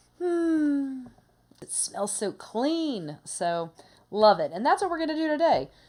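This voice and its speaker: A woman speaks with a high voice at a very slow pace. Her pitch swings very widely. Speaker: craft tutorial host. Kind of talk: tutorial.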